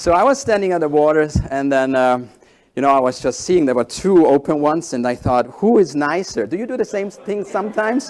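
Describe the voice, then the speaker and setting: A man with a fairly high pitch talks at a fairly quick pace with lively intonation. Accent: German. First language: German. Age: 40s. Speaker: executive coach and keynote speaker. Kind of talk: keynote talk. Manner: halting, with fillers.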